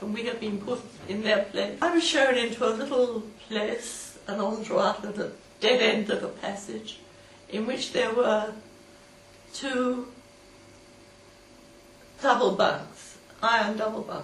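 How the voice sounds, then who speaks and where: A woman with a British accent speaks at a fairly high pitch and a fairly slow pace, using fairly even intonation. Long, frequent pauses break up her speech, and there is noticeable background noise. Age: 80s+. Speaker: war veteran. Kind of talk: personal storytelling, interview answer.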